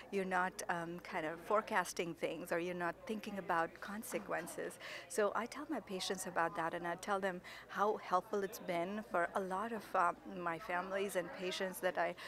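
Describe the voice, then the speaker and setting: A woman talks at a moderate pace with fairly even intonation. The sound is dry with no echo, and there is noticeable background noise. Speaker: conference speaker. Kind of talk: interview answer. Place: hall. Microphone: handheld.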